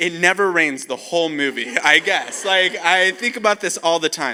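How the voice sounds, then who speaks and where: In a raised, projected voice, a man speaks at a moderate pace with a bright, sharp and animated tone. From Costa Rica. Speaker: camp speaker. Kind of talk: youth camp talk. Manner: casual.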